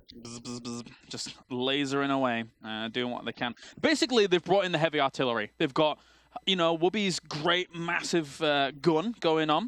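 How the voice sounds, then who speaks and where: A man's fairly high voice with an English accent, moderate pace and lively intonation, in a dry, close sound with no echo. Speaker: esports caster. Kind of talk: live commentary.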